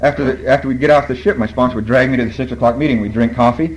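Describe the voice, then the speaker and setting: A man's medium-pitched voice, very fast and lively in intonation, over noticeable background noise. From Borneo. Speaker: AA speaker. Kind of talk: recovery talk.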